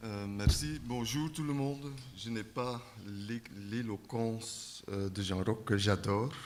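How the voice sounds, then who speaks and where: Audible room echo surrounds a man speaking at a very slow pace with a Flemish accent. His pitch is medium, with ordinary variation. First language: Dutch (speaking French). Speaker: circus centre director. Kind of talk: conference panel talk.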